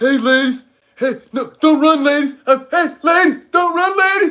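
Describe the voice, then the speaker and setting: The voice is a man's put-on character voice. He delivers it at a fairly slow pace. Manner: mocking, exaggerated.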